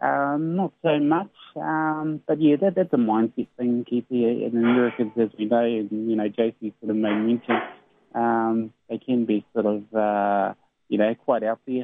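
A man with a New Zealand accent speaks at a fairly slow pace, his medium-pitched voice carrying lively intonation. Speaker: sports radio co-host. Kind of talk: casual chat. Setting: phone call. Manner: halting, many fillers.

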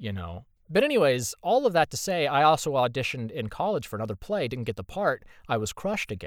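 A man talks at a very fast pace with an American accent and vocal fry. His fairly high pitch swings very widely. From Indiana, US Midwest. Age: 30s. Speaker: voice actor. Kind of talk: casual chat. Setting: video call.

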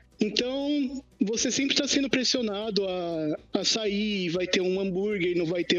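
A man with a high voice talks at a moderate speed, his pitch varying in an ordinary way, while noticeable background noise plays behind him. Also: hardly any pauses. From Brazil, Poá (São Paulo state). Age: 20s. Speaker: podcast guest. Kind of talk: casual chat.

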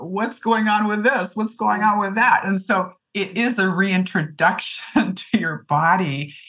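With a Canadian accent, a woman talks in an unremarkable speaking voice at a medium pitch. Her intonation is lively and her pace fairly slow. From Ontario, Canada. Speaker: physician. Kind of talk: interview, medical advice.

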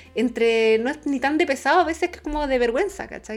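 With music in the background, a woman speaks in a Chilean accent. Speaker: travel podcast co-host. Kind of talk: casual chat.

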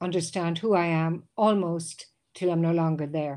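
In a quiet background, a woman talks at a moderate pace with a fairly low pitch. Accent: Irish. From Ireland. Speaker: lawyer and university guidance counselor. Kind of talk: casual interview. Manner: halting, frequent repetitions.

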